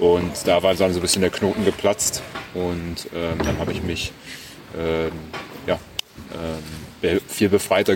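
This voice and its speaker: Over noticeable background noise, a man with a very deep, low voice speaks fairly slowly in a flat monotone, leaving long, frequent pauses. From Germany, Berlin. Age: 20s. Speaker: professional tennis player. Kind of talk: interview. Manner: hesitant, many fillers.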